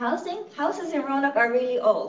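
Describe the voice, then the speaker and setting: A woman with an Iranian accent, high-pitched and lively in intonation, at a moderate pace amid noticeable background noise and audible room echo. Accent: Iranian (Persian) accent in English. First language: Farsi. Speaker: nonprofit executive director. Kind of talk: lecture. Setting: conference room with in-person and online audience.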